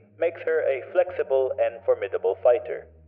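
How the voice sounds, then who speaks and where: This is a man speaking. He keeps a moderate pace over music in the background. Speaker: digital artist. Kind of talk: character lore narration.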